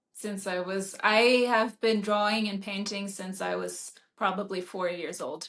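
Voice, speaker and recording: At a fairly slow pace, a woman speaks in a German accent at a medium pitch with monotone, flat intonation. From Germany, Berlin. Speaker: author and painter. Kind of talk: interview.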